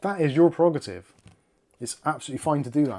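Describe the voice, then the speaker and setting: In a very clean recording with a silent background, a man with a fairly high pitch and a dark, mellow tone talks at a very fast pace. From UK. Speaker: tech YouTuber. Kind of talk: live stream chat. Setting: live stream. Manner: casual, conversational.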